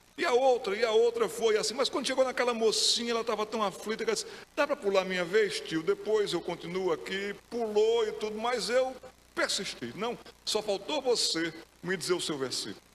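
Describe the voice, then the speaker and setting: Noticeable background noise sits behind a man talking at a fairly quick pace, his pitch high with ordinary variation. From Pernambuco, Brazil. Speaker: pastor. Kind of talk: sermon.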